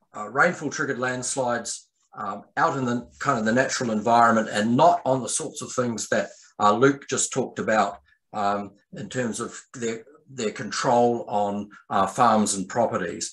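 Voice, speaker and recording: In a New Zealand accent, a man speaks at a medium pitch with ordinary pitch variation and big swings in loudness. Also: moderate pace. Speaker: landslide scientist. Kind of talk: presentation to landowners.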